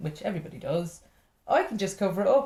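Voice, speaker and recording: This woman's voice has a dark, mellow tone, a somewhat breathy quality and lively intonation. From Ireland. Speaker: stand-up comedian. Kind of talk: podcast interview answer. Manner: lively, chatty.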